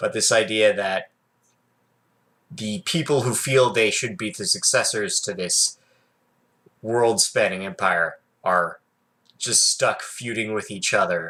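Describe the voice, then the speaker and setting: On a very clean recording with a silent background, a man talks at a fairly slow pace, leaving long, frequent pauses. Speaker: tabletop RPG vlogger. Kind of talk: casual solo vlog, thinking aloud. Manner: halting, self-correcting.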